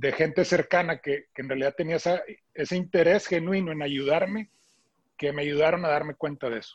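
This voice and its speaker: A man with a normal speaking voice talks at a fairly quick pace in a fairly high pitch with fairly even intonation against a quiet background. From Monterrey, northern Mexico. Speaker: supermarket chain executive, meat industry expert. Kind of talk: interview.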